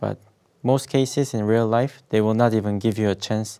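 Speaking with a Korean accent, a man keeps a moderate pace in a fairly low pitch with ordinary pitch variation. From South Korea. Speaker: finance student and specialist. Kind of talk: interview.

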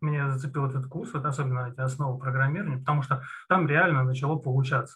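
A man with a fairly high pitch and fairly even intonation. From Russia, Moscow region. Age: 30s. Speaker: junior programmer, former CNC machine programmer. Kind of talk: interview. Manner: hesitant, with many fillers.

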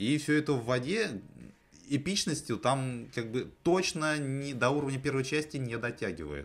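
Moderately paced, a man's plain, everyday voice holds a medium pitch and shifts in tone in an ordinary way. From Russia, outside the capital. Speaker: film podcast host. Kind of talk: casual chat.

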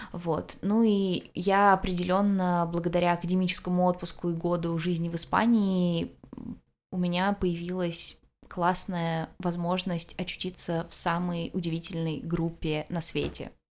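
A woman's fairly low, monotone voice with flat intonation at a very slow pace. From Russia. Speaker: psychology student. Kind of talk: interview.

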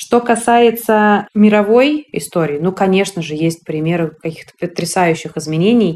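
With hardly any pauses, a woman with an unremarkable speaking voice talks at medium pitch and a moderate pace, her intonation lively. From Russia, Moscow. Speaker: women's rights activist, NGO founder. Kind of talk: podcast interview.

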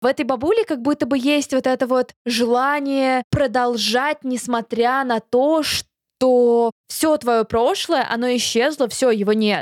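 Hardly pausing, a woman with a high pitch speaks at a very slow pace with fairly even intonation and very even loudness, the sound dry and close with no echo. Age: 20s. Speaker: podcast co-host. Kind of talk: casual chat.

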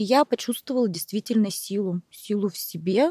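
A woman with a dark, mellow tone and medium pitch speaks at a moderate pace in a dry, close sound with no echo. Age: 30s. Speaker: entrepreneur, speech therapist. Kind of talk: personal testimony in interview.

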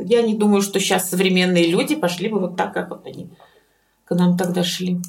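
A woman at a moderate pace. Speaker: dental surgeon. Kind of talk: interview.

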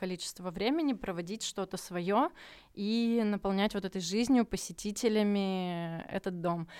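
On a very clean recording with a silent background and a dry, close sound with no echo, a woman uses a normal speaking voice at medium pitch, ordinary pitch variation and a moderate pace. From Murmansk region, northern Russia. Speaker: contemporary art centre director. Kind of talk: podcast interview.

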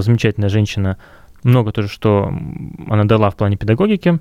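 A man with a fairly low pitch is heard on a very clean recording with a silent background and a dry, close sound with no echo. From Russia, Kurgan. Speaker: music school founder and music teacher. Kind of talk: casual interview.

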